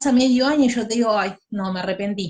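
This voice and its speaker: Fairly high-pitched, somewhat breathy female voice. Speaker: law tutor. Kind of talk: lecture.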